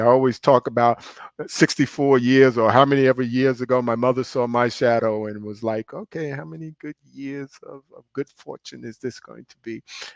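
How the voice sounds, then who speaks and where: The speaker has a New York accent and big swings in loudness, with fairly even intonation. The pace is moderate and the sound is dry and close, with no echo. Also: man, medium pitch for a man. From Brooklyn, New York. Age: 60s. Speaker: pastor and real estate finance executive. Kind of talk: interview.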